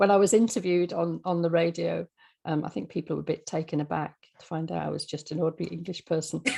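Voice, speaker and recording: Talking very fast, a woman with a fairly low pitch, vocal fry, and a dark, mellow tone uses ordinary pitch variation. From English Midlands, Birmingham. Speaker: radio drama writer. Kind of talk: interview.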